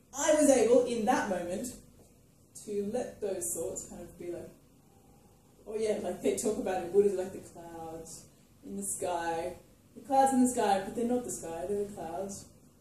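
In strong room echo, a woman with a dark, mellow tone speaks slowly at a medium pitch with lively intonation.

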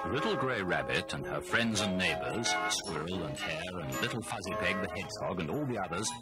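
Over loud music in the background, a woman talks with hardly any pauses in a dry sound with no echo. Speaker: audiobook narrator. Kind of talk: children's audiobook storytelling. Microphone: old recording.

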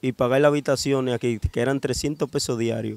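Pitched fairly high, a man with a plain, everyday voice talks at a moderate pace with fairly even intonation. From Dominican Republic, Cibao (Bonao). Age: 20s. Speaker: kidnapping survivor. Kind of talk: interview testimony.

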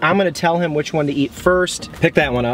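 Faint background noise sits behind a man whose fairly high, fairly bright voice moves at a fairly quick pace with ordinary pitch variation.

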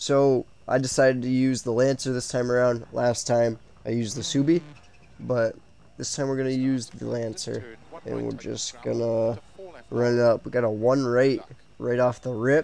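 Monotone, flat intonation marks this man's voice at medium pitch. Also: moderate pace. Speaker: gaming YouTuber. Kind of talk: gameplay commentary with live race call while driving. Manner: reactive, muttering and halting, with filler 'um' and 'uh'; tense, strained, breaking into short exclamations when the car slides.

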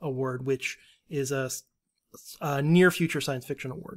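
This man has an ordinary speaking voice, pitched fairly high, with fairly even intonation. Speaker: editorial assistant. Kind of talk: casual chat.

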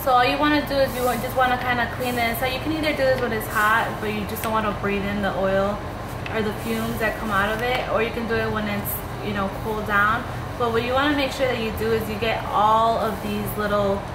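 A woman talks at a fairly quick pace with ordinary pitch variation over noticeable background noise. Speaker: hair vlogger. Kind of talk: tutorial. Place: home room. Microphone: phone near.

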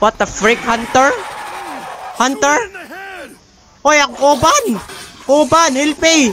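Over noticeable background noise, a man with an extremely high pitch and ordinary pitch variation uses a raised, projected voice, speaking very slowly with long, frequent pauses. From Philippines (Leyte). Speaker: gamer. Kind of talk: casual let's-play commentary in Taglish. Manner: upbeat. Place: home room. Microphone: studio mic.

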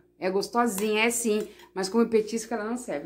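A woman talks at a fairly quick pace in an unremarkable speaking voice, fairly high in pitch with ordinary pitch variation. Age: 50s. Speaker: vlogger; home cook vlogger. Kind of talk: casual home video talking to viewers. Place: home room.

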